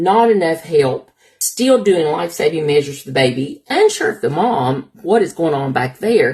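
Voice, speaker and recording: In an Appalachian accent, a woman speaks with a somewhat breathy voice. Her pitch swings very widely. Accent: Appalachian Southern. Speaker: labor and delivery nurse. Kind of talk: personal storytelling to camera.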